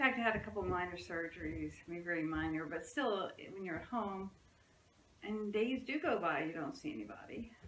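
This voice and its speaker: Over noticeable background noise and audible room echo, a woman talks at a fairly quick pace, her medium-pitched voice swinging very widely in pitch. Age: 60s. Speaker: psychotherapist. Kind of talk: casual interview chat.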